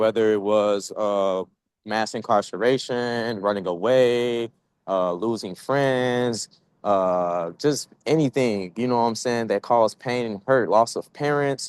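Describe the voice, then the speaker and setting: With a dry, close sound and no echo, a man speaks at a fairly slow pace in an ordinary speaking voice, medium in pitch with ordinary pitch variation. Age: 20s. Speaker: youth panelist with justice system experience. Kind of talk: panel discussion.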